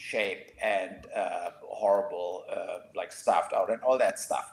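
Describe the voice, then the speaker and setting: A man speaks very slowly with a German accent. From Germany. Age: 60s. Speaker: podcast co-host. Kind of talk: casual chat. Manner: halting.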